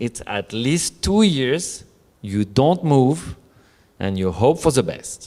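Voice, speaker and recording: A man with a non-native accent at a fairly slow pace, his intonation lively. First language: not English. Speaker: co-author of a novel. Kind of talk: book presentation talk. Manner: halting, many fillers.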